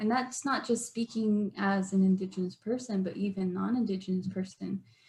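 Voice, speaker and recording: A woman speaks at a moderate pace and a medium pitch, her intonation fairly even. The voice is somewhat breathy. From Arizona, Navajo Nation. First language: Navajo. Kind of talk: online workshop presentation.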